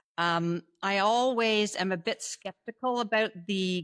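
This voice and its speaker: A woman with a slight Canadian accent and fairly high pitch speaks with ordinary pitch variation in a dry, close sound with no echo on a very clean recording with a silent background. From Canada. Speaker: panel commentator. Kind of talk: casual chat.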